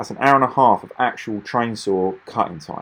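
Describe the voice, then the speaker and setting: Delivered at a fairly quick pace with an Essex accent, the voice shows ordinary pitch variation. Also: man. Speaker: machinery dealer. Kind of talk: product demonstration voiceover. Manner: casual, hesitant with repetitions.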